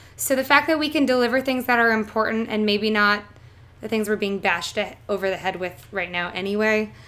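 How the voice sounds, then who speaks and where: A woman's fairly high, bright, sharp voice with a Canadian accent, at a fairly quick pace. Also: ordinary pitch variation. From southern Ontario, Canada. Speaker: theatre actress. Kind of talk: casual interview.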